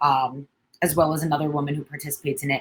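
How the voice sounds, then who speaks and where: A woman with a New York accent speaks in a very deep, low voice. Her tone is somewhat breathy. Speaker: social worker. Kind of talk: educational webinar presentation. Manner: frequent fillers and hesitations.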